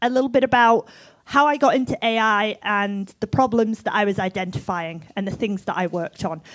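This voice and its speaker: Someone with an English accent speaks at a moderate pace with lively intonation, the sound dry and close with no echo. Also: woman, very clean recording, silent background. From England. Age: 40s. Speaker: music tech entrepreneur. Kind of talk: conference talk. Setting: stage with audience.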